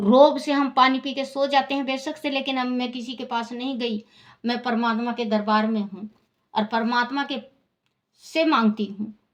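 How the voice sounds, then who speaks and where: Her intonation is fairly even. The woman's pitch is high. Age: 60s. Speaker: religious storyteller. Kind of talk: personal testimony.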